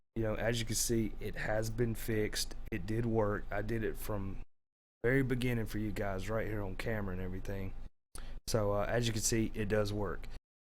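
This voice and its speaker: Amid audible room echo, a man talks at a fairly low pitch in a flat monotone. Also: moderate pace. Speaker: gaming YouTuber. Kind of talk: gameplay tutorial. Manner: casual, filler-heavy.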